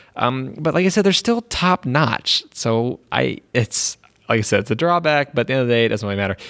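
At a fairly quick pace, a man with a medium-pitched voice speaks with lively intonation in a dry, close sound with no echo. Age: 20s. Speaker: podcast host and college student. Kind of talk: casual solo monologue. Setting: empty university building. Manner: halting, many fillers and restarts.

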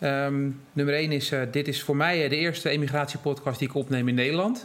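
A man speaks in an unremarkable speaking voice, pitched fairly high. His pitch variation is ordinary. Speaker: podcast host. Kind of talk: interview. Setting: in person.

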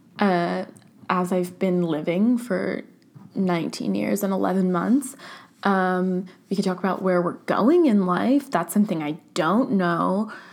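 Using ordinary pitch variation, a woman talks at a fairly slow pace in a medium pitch. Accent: Californian. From US, Orange County, California. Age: young (about to turn 20). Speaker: podcast host. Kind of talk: casual solo monologue. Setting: at home, at her desk. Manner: filler-heavy, casual (um, like).

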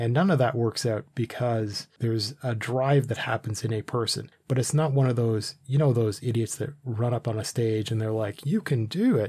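A man speaks at a moderate pace with hardly any pauses, his voice medium in pitch, dark, mellow and somewhat breathy. The recording is very clean, with a silent background. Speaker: podcast host. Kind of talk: casual banter, comedic intro. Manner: animated, joking.

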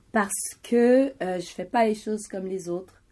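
Dark and mellow in tone, a woman's voice shows ordinary pitch variation on a very clean recording with a silent background. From Montreal, Quebec (Haitian family). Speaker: graphic designer and media host. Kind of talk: interview. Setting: in her shop studio.

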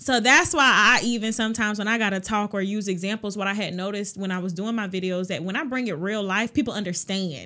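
A woman's medium-pitched, bright, sharp voice at a fairly quick pace, on a very clean recording with a silent background. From Augusta, Georgia. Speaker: credit repair business owner. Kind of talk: casual interview. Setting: studio.

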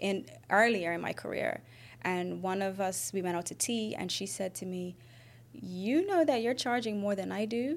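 A woman with a normal speaking voice talks at a moderate pace, her pitch medium and her intonation lively. The recording is very clean, with a silent background. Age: 30s. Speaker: entrepreneur and doula. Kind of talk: casual chat.

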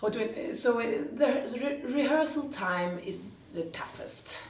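A woman with a Swedish accent, very wide pitch swings and noticeable background noise. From northern Sweden, Jämtland. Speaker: musical theatre actress. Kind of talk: interview in English.

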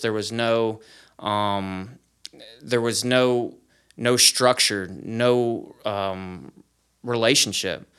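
On a very clean recording with a silent background, a man with an American accent talks at a medium pitch with fairly even intonation. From Florida, US. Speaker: recovery program leader, former addict. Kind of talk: testimony.

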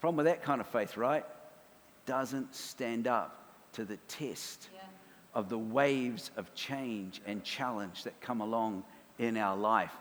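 A man with a New Zealand accent, medium pitch, ordinary pitch variation and a fairly slow pace. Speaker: preacher. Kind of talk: sermon. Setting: church.

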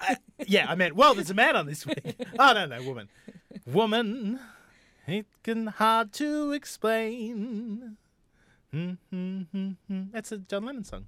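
A man with an Australian accent speaks in a raised, projected voice that is high-pitched, bright and sharp. His fairly slow delivery has long, frequent pauses and big swings in loudness. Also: lively intonation, dry, close sound with no echo. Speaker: podcast host. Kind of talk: comedic casual chat. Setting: studio.

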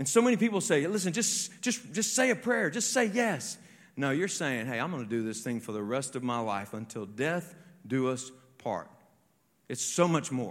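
With audible room echo, a man's fairly high pitch moves through very wide pitch swings. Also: moderate pace. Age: 40s. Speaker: pastor. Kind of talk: sermon. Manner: animated.

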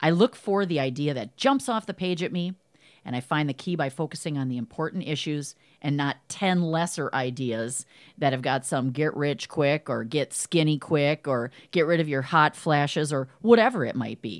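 On a very clean recording with a silent background, a woman with a very deep, low pitch speaks at a moderate pace, her intonation lively and her tone enthusiastic. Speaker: podcast host and business coach. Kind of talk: scripted monologue; interview.

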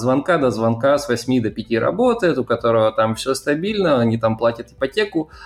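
A man's normal speaking voice at medium pitch, with lively intonation and a moderate pace. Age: 20s. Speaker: podcast host. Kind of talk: interview; scripted narration.

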